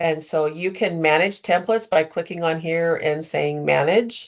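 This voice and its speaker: A woman's unremarkable speaking voice, fairly low-pitched, at a moderate pace with fairly even intonation. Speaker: software trainer. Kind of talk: tutorial.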